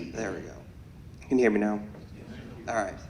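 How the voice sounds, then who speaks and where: A man speaks with fairly even intonation. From Peoria area, Illinois. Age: 20s. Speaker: police sergeant, commissioner candidate. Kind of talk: candidate forum speech.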